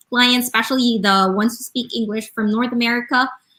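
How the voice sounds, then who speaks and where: Speaking at a moderate pace, a woman has a Visayan Filipino accent and ordinary pitch variation. Her tone is bright and sharp. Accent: Filipino (Cebuano) English. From Philippines, Cebu. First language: Bisaya. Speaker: online business manager. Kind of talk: casual chat. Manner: halting.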